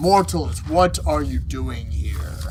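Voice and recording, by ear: Over loud background noise, a man uses a put-on character voice that is booming and rumbling.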